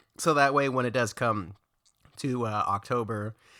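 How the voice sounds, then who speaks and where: A man mumbles at medium pitch in a bright, sharp tone with ordinary pitch variation. The recording is very clean, with a silent background. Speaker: food vlogger. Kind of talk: casual vlog review. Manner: fast; mumbling.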